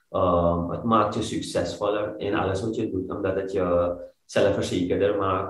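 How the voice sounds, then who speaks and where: In a room with audible echo, a man with a very deep, low pitch talks in a somewhat breathy voice with fairly even intonation. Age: 30s. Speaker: fitness coach, former banker. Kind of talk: interview. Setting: studio, sitting on the floor. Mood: earnest, reflective. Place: home room. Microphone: video call.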